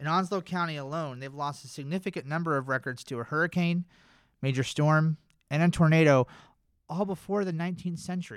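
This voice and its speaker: A man with an American accent speaks in an ordinary speaking voice at a fairly quick pace and fairly high pitch, with ordinary pitch variation, on a very clean recording with a silent background. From North Carolina. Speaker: government records archivist. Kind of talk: scripted narration; casual chat.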